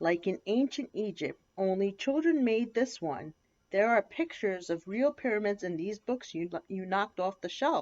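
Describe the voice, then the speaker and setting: A woman's squeaky, put-on character voice at a medium pitch and a moderate pace. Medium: read story. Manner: hesitant, careful.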